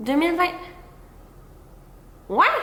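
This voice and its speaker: In a Quebec accent, a woman projects a raised voice with a bright, sharp tone and very wide pitch swings, and the room echo is audible. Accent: Québécois French. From Quebec, Gaspé peninsula. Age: 20s. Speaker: content creator, vlogger. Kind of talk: casual chat to camera. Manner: hesitant, many fillers.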